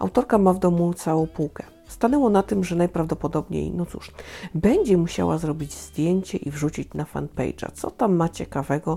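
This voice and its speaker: Over noticeable background noise, a woman talks at a fairly low pitch with ordinary pitch variation. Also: moderate pace. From Upper Silesia, Poland. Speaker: podcast host, book reviewer. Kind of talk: solo podcast monologue.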